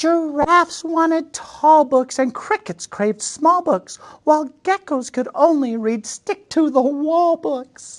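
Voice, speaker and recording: This woman's squeaky, high-pitched voice moves at a fairly slow pace. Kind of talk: picture book read-aloud. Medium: read story. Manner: warm, playful, chatty asides.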